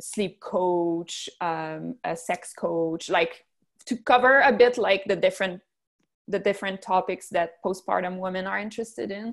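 A woman's fairly low voice in a Quebec French accent, with ordinary pitch variation, on a very clean recording with a silent background. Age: 30s. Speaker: physiotherapist and business owner. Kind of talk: interview.

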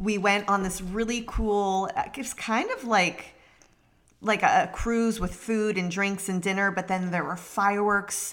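At a fairly slow pace, a woman with an unremarkable speaking voice talks in a medium pitch with fairly even intonation. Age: 30s. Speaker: podcast co-host. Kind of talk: casual chat.

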